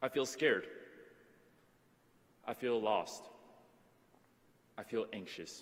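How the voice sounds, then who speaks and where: With an American accent, a man speaks very slowly at a medium pitch, with ordinary pitch variation and long, frequent pauses. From Taiwan, then US. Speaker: student commencement speaker. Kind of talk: commencement speech.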